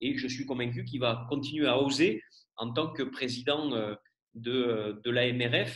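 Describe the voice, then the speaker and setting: Here a man talks at a moderate pace and a medium pitch. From rural France. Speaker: event moderator. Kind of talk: introduction speech. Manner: hesitant, many fillers.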